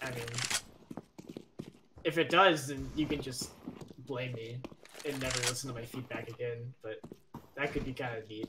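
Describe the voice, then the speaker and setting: Fairly slow speech broken by long, frequent pauses, with noticeable background noise. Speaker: gamer, map playtester. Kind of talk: casual gaming chat and feedback.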